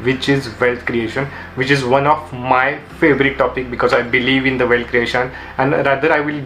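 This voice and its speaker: A man talks at a fairly quick pace and a medium pitch in a monotone, flat way. Audible room echo and noticeable background noise surround him. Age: 20s. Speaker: YouTuber, book reviewer. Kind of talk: book summary video.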